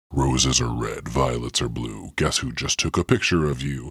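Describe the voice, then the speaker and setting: In a put-on character voice, a man speaks very deep and low with a menacing tone at a moderate pace. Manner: spooky, menacing.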